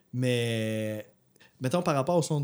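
Speaking in a Quebec accent, a man talks at a moderate pace and medium pitch with a dark, mellow tone. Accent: Québécois French. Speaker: music podcast co-host. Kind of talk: casual chat.

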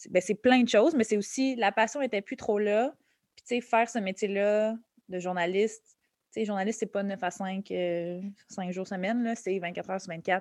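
Over a quiet background, a woman talks at a medium pitch in a plain, everyday voice. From Quebec, Montreal and Laval. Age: 30s. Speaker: comedian. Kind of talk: interview conversation. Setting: podcast interview.

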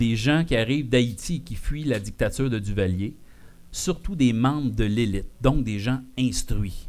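A man at a fairly slow pace, medium pitch, animated tone and lively intonation. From Quebec, Abitibi-Témiscamingue. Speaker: podcast host. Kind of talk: live show with audience. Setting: bar with live audience.

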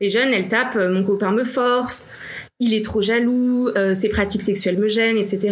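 At a moderate pace, a woman with a fairly high pitch speaks with fairly even intonation amid audible room echo. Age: 30s. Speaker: nonprofit manager. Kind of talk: interview.

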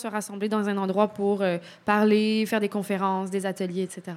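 A woman talks at a medium pitch. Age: 30s. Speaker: documentary subject, former tenant. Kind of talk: radio interview.

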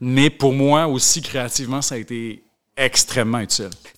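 A man talks at a moderate pace in a plain, everyday voice, his pitch fairly high. His pitch varies in an ordinary way on a very clean recording with a silent background. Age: 30s. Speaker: author. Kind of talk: casual chat.

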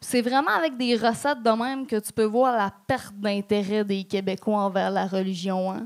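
A woman's normal speaking voice, fairly high in pitch with ordinary pitch variation, at a moderate pace with hardly any pauses, on a very clean recording with a silent background. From regional Quebec. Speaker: stand-up comedian. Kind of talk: stand-up. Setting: stage with audience.

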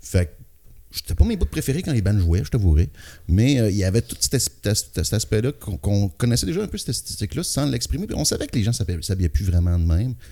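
A very fast male voice with a Quebec accent, fairly low, somewhat breathy and dark and mellow in tone, with very wide pitch swings. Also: very clean recording, silent background. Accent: Québécois French. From Quebec City area. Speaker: rock singer and guitarist. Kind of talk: casual interview.

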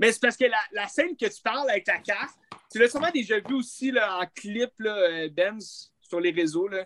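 A man with a Quebec accent talks in a high pitch with lively intonation and a bright, sharp tone, and the sound is dry and close with no echo. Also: moderate pace. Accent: Québécois French. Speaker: film podcast co-host. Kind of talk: casual chat.

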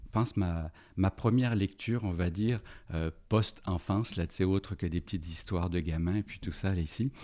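A man with a very deep, low pitch and a dark, mellow tone talks at a moderate pace with ordinary pitch variation, recorded very cleanly against a silent background. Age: 50s. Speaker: organizational development consultant and business coach. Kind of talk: casual interview about books. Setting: podcast studio.

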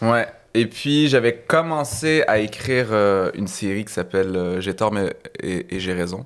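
With an unremarkable speaking voice, a man talks at a fairly slow pace, his pitch fairly low and his intonation lively. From Quebec (Laval, north shore of Montreal), some childhood years in Algeria. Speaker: stand-up comedian. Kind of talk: casual chat.

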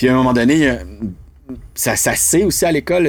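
A man talks at a very fast pace. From Quebec, north shore of Montreal. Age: 30s. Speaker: actor. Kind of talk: casual chat. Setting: studio.

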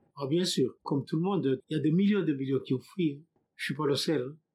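A somewhat breathy man talks at a fairly quick pace and a fairly high pitch. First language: not French (speaking French). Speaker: immigrant. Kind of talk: testimony.

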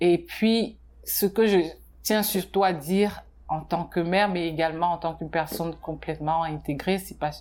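A very clean recording with a silent background, fairly slow delivery, long and frequent pauses, and fairly even intonation. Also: woman. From Cameroon and Benin. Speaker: painter and art therapist. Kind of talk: interview testimony. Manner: halting.

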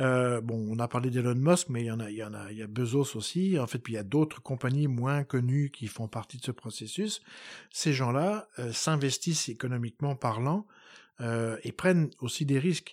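A man with an ordinary speaking voice talks at a moderate pace, medium in pitch with ordinary pitch variation. The recording is very clean, with a silent background. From France, Poitou (Poitiers). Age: 50s. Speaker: historian. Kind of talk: interview. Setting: home of the host.

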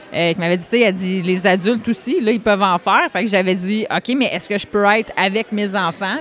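A woman speaks fairly quickly. Music can be heard behind her. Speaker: karate school owner and competitor. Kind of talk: casual interview chat. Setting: at world championships in Ireland.

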